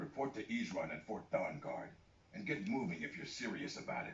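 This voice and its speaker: A man speaks in a put-on character voice at a fairly high pitch and a fairly quick pace. Background noise is clearly audible. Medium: video game. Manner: gruff, blunt.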